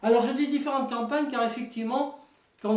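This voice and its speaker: A woman speaks with a fairly high pitch. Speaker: tabletop wargame hobbyist. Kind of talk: casual talk to camera. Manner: hesitant, many fillers.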